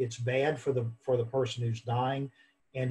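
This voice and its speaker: A somewhat breathy man, moderate in pace, with monotone, flat intonation. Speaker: professor and grief expert. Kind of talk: interview. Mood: earnest, thoughtful. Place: home room. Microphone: video call.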